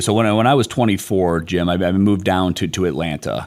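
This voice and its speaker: A man's very deep, low voice with a Midwestern accent, fairly quick and lively in intonation, on a very clean recording with a silent background. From US Midwest, Detroit. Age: 40s. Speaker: business executive. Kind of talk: podcast interview. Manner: animated.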